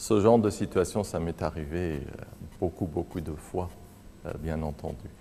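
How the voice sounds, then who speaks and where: A man with a Persian accent, very deep and low in pitch, with a dark, mellow tone, ordinary pitch variation, a fairly slow pace and long, frequent pauses. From Iran. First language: Persian (speaking French). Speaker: researcher in exile. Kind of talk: interview testimony. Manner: hesitant, many fillers.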